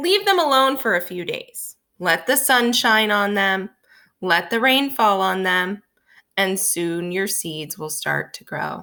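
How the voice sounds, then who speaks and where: A woman uses a put-on character voice at medium pitch. She speaks at a fairly slow pace. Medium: read story. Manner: calm, patient.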